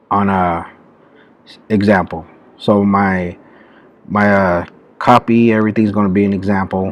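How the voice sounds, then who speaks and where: A man talks quietly at a fairly low pitch with monotone, flat intonation, and the sound is dry with no echo. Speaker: YouTuber teaching online marketing; online business tutorial creator. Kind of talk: tutorial. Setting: public library. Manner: quiet, low-voiced. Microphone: webcam.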